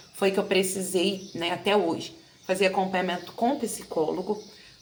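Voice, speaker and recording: Noticeable background noise sits behind this woman. Her pitch varies in an ordinary way. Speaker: teacher and education vlogger. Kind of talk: personal testimony vlog. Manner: consciously slowed pace.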